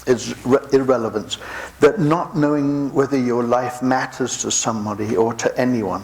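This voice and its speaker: With an English accent, a man speaks at a medium pitch and a moderate pace, with ordinary pitch variation and noticeable background noise. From England. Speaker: pastor. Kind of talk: sermon.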